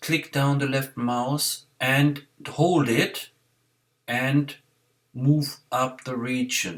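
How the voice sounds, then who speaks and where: A man speaks with a non-native accent at a fairly high pitch. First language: not English. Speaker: software tutorial maker. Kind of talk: screen-recorded tutorial. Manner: halting, many fillers.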